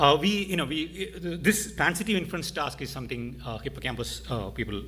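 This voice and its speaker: Noticeable background noise accompanies a man speaking with an Indian accent. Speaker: AI researcher. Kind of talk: conference talk. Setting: stage with audience. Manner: fast talker; halting.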